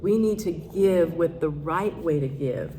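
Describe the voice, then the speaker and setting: Audible room echo surrounds a woman speaking at a fairly slow pace in a fairly low pitch with ordinary pitch variation. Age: 70s. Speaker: minister. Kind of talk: sermon. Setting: church service.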